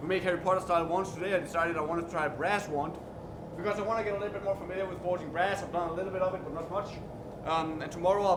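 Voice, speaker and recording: A man with a slight Danish accent talks very fast at a high pitch, his intonation flat and monotone. Room echo is audible, and there is noticeable background noise. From Denmark. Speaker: blacksmith streamer. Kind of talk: live stream tutorial. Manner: halting.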